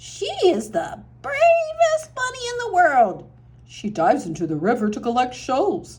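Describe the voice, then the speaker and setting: Here is a put-on character voice. It moves at a moderate pace. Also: woman, high pitch for a woman. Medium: read story.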